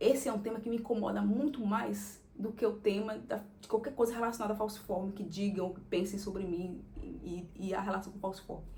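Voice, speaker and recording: A woman speaks at a fairly quick pace with fairly even intonation and big swings in loudness. Noticeable background noise and audible room echo fill the recording. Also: medium pitch for a woman. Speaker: content creator. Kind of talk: casual monologue.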